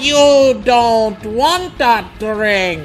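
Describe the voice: A man's put-on character voice, extremely high-pitched, at a very slow pace with lively intonation and faint background noise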